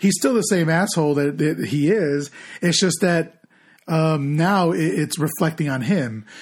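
In a very clean recording with a silent background, a man with a fairly high pitch talks at a fairly slow pace with ordinary pitch variation, an unremarkable speaking voice. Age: 30s. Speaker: podcast co-host. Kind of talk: casual chat.

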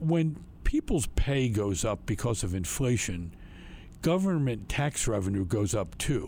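This man's medium-pitched voice has a dark, mellow tone and a somewhat breathy quality, moving at a fairly slow pace in an American accent with very wide pitch swings. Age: 70s. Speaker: state legislator. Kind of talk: political report, interview-style commentary.

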